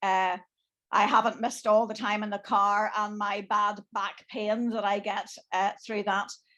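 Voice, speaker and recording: A woman with an Irish accent, medium in pitch, bright and sharp in tone, monotone and flat in intonation, at a fairly slow pace against a quiet background. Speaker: bishop. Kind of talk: panel discussion.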